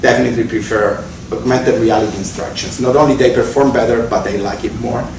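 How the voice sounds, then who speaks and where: There is audible room echo around this man's voice. Noticeable background noise runs behind him. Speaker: neuroscientist at tech company. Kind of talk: technical talk at meetup. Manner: fast; halting, repeats words.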